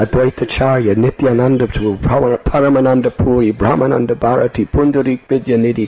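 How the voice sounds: With fairly even intonation, the speaker reads in a natural voice.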